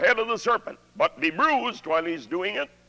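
Raising and projecting his voice at a moderate pace, a man speaks at an extremely high pitch with very wide pitch swings. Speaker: preacher. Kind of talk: sermon.

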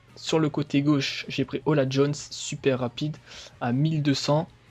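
The voice is somewhat breathy. It moves at a very slow pace. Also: man. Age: 20s. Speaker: gaming youtuber. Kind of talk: gameplay commentary. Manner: hesitant, many fillers.

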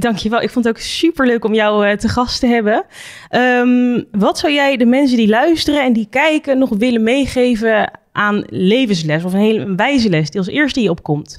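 A woman's fairly high voice with lively intonation at a moderate pace, against a quiet background. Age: 20s. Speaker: podcast host, reality TV contestant; podcast host. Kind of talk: casual interview. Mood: friendly, animated. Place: studio. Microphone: studio mic.

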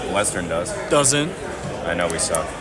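Loud background noise sits behind a man's voice. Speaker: amateur match commentator. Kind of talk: casual sports commentary. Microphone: camera far.

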